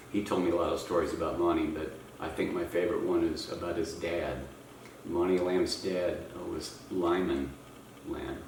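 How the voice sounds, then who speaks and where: Noticeable background noise surrounds a man's voice. The room adds audible echo. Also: moderate pace. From Oklahoma, born in Missouri. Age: 70s. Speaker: interviewee, interviewer's father. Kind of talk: family interview, reminiscing.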